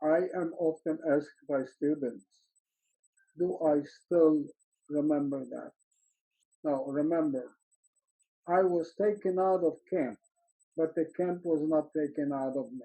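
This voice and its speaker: Fairly slow and with long, frequent pauses, a man talks in a Polish accent with fairly even intonation. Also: fairly high pitch for a man. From Poland. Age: 90s. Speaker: Holocaust survivor. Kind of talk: testimony.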